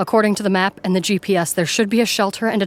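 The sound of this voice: It is an unforced reading voice with fairly even intonation.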